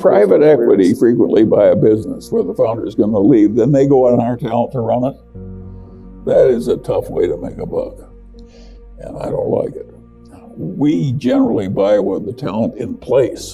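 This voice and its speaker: With music behind him, the man speaks at a moderate pace. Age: 80s+. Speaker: billionaire investor. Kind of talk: interview answer.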